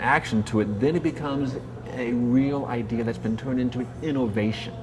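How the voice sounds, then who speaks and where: There is noticeable background noise here. Over it, a man speaks at a medium pitch. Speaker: marketing consultant and professional speaker. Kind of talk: interview. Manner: halting.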